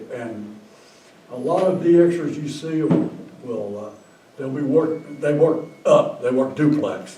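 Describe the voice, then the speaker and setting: An American accent with very wide pitch swings at a fairly slow pace, amid audible room echo and noticeable background noise. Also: man. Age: 80s+. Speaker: ham radio operator. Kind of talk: casual chat. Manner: halting.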